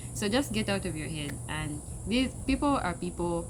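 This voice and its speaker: A woman with a Zambian accent, amid noticeable background noise and audible room echo. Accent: Zambian accent, kept. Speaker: international student vlogger. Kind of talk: casual unscripted talk to camera. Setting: outdoors.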